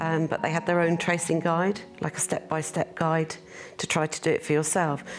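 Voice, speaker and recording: A woman speaks with an English accent at a fairly quick pace. Her pitch variation is ordinary, and there is noticeable background noise. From United Kingdom. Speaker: daughter of birth mother. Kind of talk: interview testimony.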